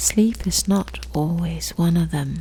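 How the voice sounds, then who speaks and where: Against noticeable background noise, a woman speaks softly. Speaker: sleep story narrator. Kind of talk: sleep story. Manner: soft-spoken, slow, gentle.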